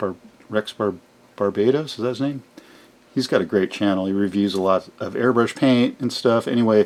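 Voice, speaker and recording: The man's fairly low voice moves at a moderate pace, with ordinary changes in pitch. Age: 60s. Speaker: scale model hobbyist video host. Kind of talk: casual tutorial-style build showcase. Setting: home model garage workshop. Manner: hesitant, many filler words.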